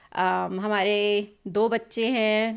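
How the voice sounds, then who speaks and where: Medium-pitched female voice, very clean recording, silent background. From US South, North Carolina. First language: English (weak Hindi) (speaking Hindi). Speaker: pharmacist and mother. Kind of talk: podcast interview.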